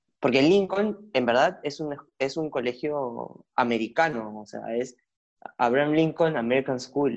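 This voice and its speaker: The man has an unremarkable speaking voice. His pitch is medium, with ordinary pitch variation. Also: fairly slow pace. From Peru (Lima). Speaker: social media content creator. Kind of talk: casual interview conversation.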